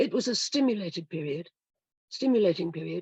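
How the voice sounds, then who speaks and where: In a dry, close sound with no echo, a woman talks at a fairly quick pace with a medium, somewhat breathy voice and lively intonation. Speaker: historian. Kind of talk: prepared lecture. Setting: video call.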